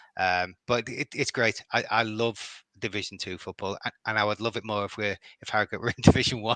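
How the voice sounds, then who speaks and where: A man with a Liverpool accent, fairly low in pitch, bright and sharp in tone, fairly even in intonation, fairly quick in pace, in a dry, close sound with no echo. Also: quiet background. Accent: Liverpool (Scouse). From Liverpool, England. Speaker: football fan. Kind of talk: podcast interview. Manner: halting, many repetitions.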